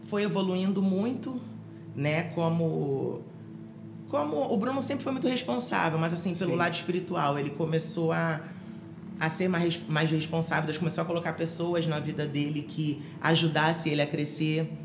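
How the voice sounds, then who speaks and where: Against noticeable background noise and audible room echo, a woman speaks at a fairly slow pace with a fairly low pitch, ordinary pitch variation and very even loudness. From Rio de Janeiro, Brazil. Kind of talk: testimony. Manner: halting, many fillers and repetitions.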